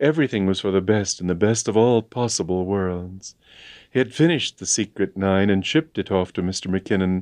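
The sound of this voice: Ordinary pitch movement runs through an unforced reading voice.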